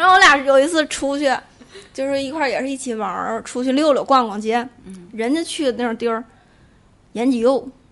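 Her voice is high for a woman, and she talks at a fairly quick pace with ordinary pitch variation and long, frequent pauses. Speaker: podcast guest. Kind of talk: casual chat.

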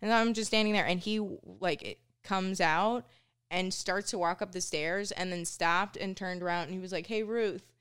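On a very clean recording with a silent background, a woman with an American accent has an unremarkable speaking voice, medium pitch, fairly even intonation and a fairly quick pace. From Minnesota, US. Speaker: stand-up comedian. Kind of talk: casual chat. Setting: studio.

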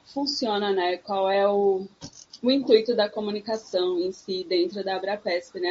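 A woman speaks over noticeable background noise. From sertão of Pernambuco, Brazil. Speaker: psychologist. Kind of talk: casual chat.

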